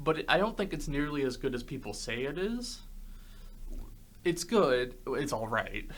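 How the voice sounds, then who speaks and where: A man talks at a moderate pace with a fairly high pitch and very wide pitch swings. He leaves long, frequent pauses, and audible room echo surrounds him. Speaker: podcast host. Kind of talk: casual chat.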